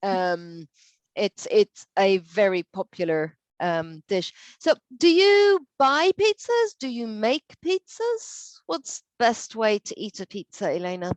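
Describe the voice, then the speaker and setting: A woman with an Irish accent at a very slow pace, in a dry, close sound with no echo. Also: big swings in loudness. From Ireland. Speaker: English teacher. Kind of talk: online language lesson conversation.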